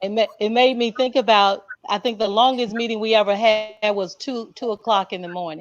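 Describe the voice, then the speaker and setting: A woman talks in a plain, everyday voice, fairly high in pitch. Her intonation is fairly even, with hardly any pauses. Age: 60s. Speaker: education panelist, school board member. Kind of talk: panel discussion.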